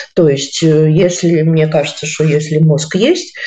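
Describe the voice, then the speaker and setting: This dark, mellow voice speaks at a very slow pace. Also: woman. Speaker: philologist and university lecturer. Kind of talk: interview. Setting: studio. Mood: indignant, reflective. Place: home room. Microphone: video call.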